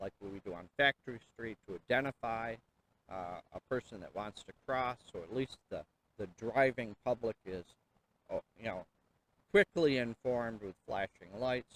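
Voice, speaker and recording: A man with a plain, everyday voice, medium pitch and ordinary pitch variation, moving at a moderate pace in a dry, close sound with no echo. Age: 60s. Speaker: city council candidate. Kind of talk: interview. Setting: outdoors by a river and falls.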